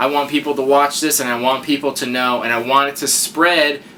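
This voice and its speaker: A man mumbles at a moderate pace and a fairly high pitch. Noticeable background noise sits behind him. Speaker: YouTube unboxing reviewer. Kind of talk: casual vlog review. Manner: mumbling; stutter.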